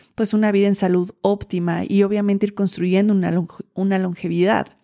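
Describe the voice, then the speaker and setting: A woman's medium-pitched voice with a dark, mellow tone at a moderate pace, on a very clean recording with a silent background and a dry, close sound with no echo. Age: 30s. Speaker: podcast host and Ayurveda wellness teacher. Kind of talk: solo podcast monologue. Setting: home.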